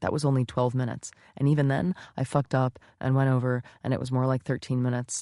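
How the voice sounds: What comes through is a natural reading voice.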